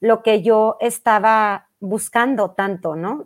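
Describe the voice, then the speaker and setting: In a very clean recording with a silent background, a woman speaks very slowly with ordinary pitch variation. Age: 40s. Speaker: mind-method teacher and life coach. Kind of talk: interview.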